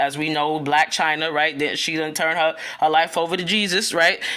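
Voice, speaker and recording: A loud woman's voice, very deep and low in pitch, with a bright, sharp tone. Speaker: spiritual content creator. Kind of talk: casual spiritual talk video. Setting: at home early morning, children asleep. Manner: casual, chatty with filler words.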